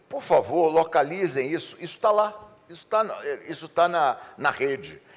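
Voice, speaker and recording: A man speaks in a high pitch at a moderate pace. His loudness swings widely. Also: lively intonation. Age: 60s. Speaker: advertising executive. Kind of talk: interview. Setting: seminar.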